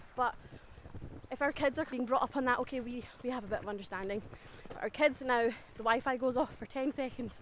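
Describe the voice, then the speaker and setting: In a Scottish accent, a woman with a high pitch talks at a fairly quick pace with ordinary pitch variation and long, frequent pauses. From Scotland. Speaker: teacher, walk participant. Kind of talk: casual interview. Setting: outdoors on a forest walk.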